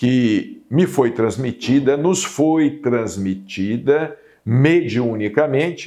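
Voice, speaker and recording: This is a man speaking. His intonation is lively. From Brazil, Minas Gerais (Uberaba). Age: 60s. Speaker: spiritist TV program host and medium. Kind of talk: spiritual talk / monologue.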